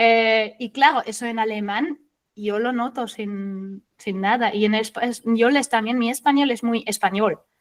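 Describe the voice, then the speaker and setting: A woman with a German accent, fairly high in pitch, fairly even in intonation, at a fairly slow pace. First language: German (speaking Spanish). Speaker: SEO consultant. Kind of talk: interview.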